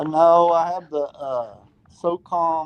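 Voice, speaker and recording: Man with an American accent, recorded with a dry, close sound and no echo. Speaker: caller on gun livestream. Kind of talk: casual chat.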